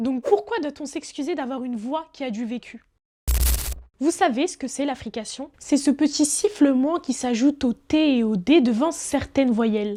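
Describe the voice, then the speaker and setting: A woman's high voice, dark and mellow in tone, with big swings in loudness, lively intonation and a fairly slow pace. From France, Paris region suburbs. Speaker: journalist. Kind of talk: personal video essay narration.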